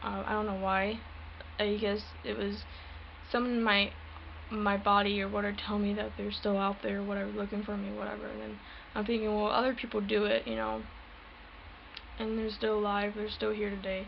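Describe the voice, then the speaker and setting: Soft-spoken and fairly quick, a woman talks with long, frequent pauses as audible room echo surrounds her. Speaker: paranormal vlogger. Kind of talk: personal testimony vlog. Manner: halting.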